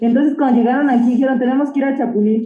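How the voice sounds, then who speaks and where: Noticeable background noise sits behind a woman's high voice, which keeps fairly even intonation. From Mexico, Oaxaca. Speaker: chef. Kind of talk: casual chat.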